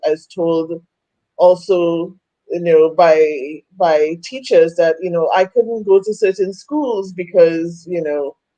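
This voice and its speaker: Speaking fairly slowly, a woman with a Trinidadian accent has a dark, mellow tone. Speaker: women's coach. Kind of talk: interview testimony. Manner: halting.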